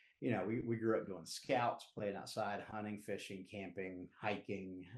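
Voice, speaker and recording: A man with a Southern US accent, fairly low pitched, in a monotone, flat delivery at a moderate pace. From US Southeast. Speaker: recovery advocate and community leader. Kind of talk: podcast interview. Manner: casual, halting with fillers.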